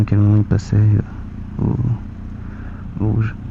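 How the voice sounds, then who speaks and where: A soft-spoken man talks in a fairly low pitch with a monotone, flat intonation over noticeable background noise. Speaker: motorcycle vlogger. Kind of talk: casual vlog monologue while riding. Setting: riding a motorcycle outdoors. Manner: hesitant, many fillers.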